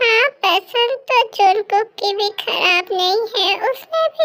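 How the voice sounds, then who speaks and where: Put-on character voice at a fairly slow pace, with ordinary pitch variation and a dry, close sound with no echo. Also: woman. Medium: fan dub. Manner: imperious, scolding.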